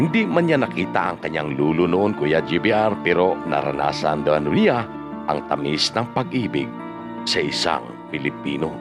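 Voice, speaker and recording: A man's very deep, low voice at a moderate pace, with lively intonation, very even loudness and music in the background. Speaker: video narrator and storyteller reading viewer-submitted life stories. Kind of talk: news-style storytelling voice-over.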